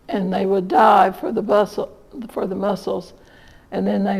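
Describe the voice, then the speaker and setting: A woman speaks with a southern Indiana accent. Her pitch is medium and her pace moderate. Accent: southern Indiana rural American. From southern Indiana, USA. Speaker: local historian and author; retired nurse. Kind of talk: storytelling talk to an audience.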